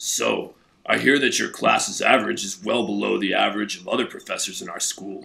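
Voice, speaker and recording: Putting on a character voice, a man sounds raspy. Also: fairly quick pace. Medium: machinima. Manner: easily distracted.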